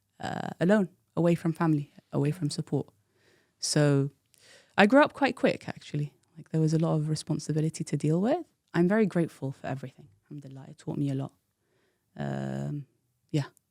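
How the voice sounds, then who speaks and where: A woman's very deep, low voice with a London accent, fairly quick pace, ordinary pitch variation, big swings in loudness and long, frequent pauses, on a very clean recording with a silent background. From London, England (teen years in Iraq). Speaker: tech professional. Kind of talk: interview storytelling.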